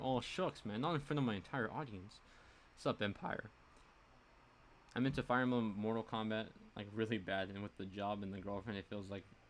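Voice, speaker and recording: A man with a fairly low pitch and ordinary pitch variation talks at a fairly quick pace, broken by long, frequent pauses. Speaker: gaming YouTuber and streamer. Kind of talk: casual live stream chat. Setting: home live stream on webcam. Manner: fast.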